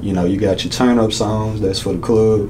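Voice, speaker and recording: With an American accent, a man talks at a fairly quick pace, fairly low in pitch and fairly even in intonation, amid audible room echo and noticeable background noise. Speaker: rapper and instrumentalist. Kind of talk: interview.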